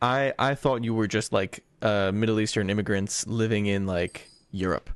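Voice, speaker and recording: A man with an American accent and a normal speaking voice talks at a fairly low pitch and a moderate pace, with fairly even intonation and very even loudness, in a dry, close recording with no echo. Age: 20s. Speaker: podcast host. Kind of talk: casual chat.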